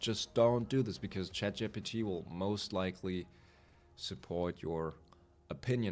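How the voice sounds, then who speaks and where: Over music in the background, a man with a German accent talks at a moderate pace in a fairly low pitch with ordinary pitch variation. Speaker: gaming youtuber. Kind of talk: unscripted monologue. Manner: rambling, casual.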